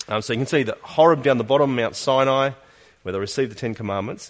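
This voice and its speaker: A man talks with an Australian accent and ordinary pitch variation. The background is quiet. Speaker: pastor. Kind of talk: sermon. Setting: church.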